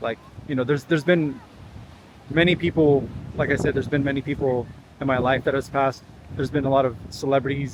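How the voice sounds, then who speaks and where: A man's fairly high voice at a very fast pace over noticeable background noise. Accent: American. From California. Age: 40s. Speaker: vlogger. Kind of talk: casual vlog monologue. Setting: outdoors walk at a beach. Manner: halting, many fillers and repeats.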